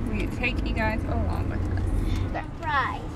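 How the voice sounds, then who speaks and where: A woman's voice, dry with no echo, against loud background noise. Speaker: family vlogger. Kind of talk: casual vlog chat. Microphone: phone near.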